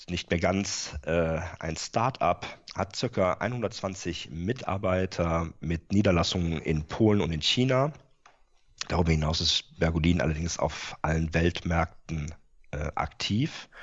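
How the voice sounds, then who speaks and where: With ordinary pitch variation, the delivery proceeds fairly slowly. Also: man. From Rhineland, Germany. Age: 40s. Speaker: company IT and controlling manager. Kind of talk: interview. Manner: frequent filler sounds.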